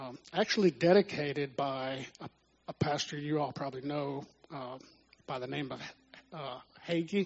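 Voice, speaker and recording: A man with a Texan accent, fairly high in pitch, with ordinary pitch variation, long, frequent pauses and big swings in loudness. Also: moderate pace. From Texas (Houston). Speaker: church minister, musician. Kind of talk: testimony.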